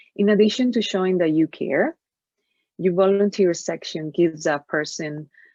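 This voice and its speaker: At a moderate pace and medium pitch, a woman talks with a dry, close sound and no echo. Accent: Spanish. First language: Spanish. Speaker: career coach. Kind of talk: webinar presentation. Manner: halting.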